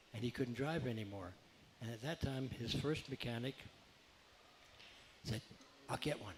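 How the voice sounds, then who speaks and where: With long, frequent pauses, a man speaks at a moderate pace in a somewhat breathy voice with ordinary pitch variation. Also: medium pitch for a man. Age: 70s. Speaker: retired racing mechanic. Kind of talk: radio interview. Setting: live radio show at a beach bar.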